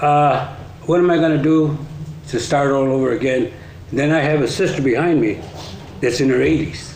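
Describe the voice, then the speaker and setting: A man with an American accent and a fairly high pitch speaks at a moderate pace with long, frequent pauses, fairly even intonation and very even loudness, amid audible room echo and noticeable background noise. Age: 60s. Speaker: resident speaking at public meeting. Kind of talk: public comment. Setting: council meeting.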